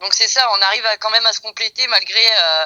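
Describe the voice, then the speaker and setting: A woman's bright, sharp tone with a dry, close sound and no echo. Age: 40s. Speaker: interviewee in a testimony podcast. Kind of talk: casual interview testimony. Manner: hesitant, many fillers.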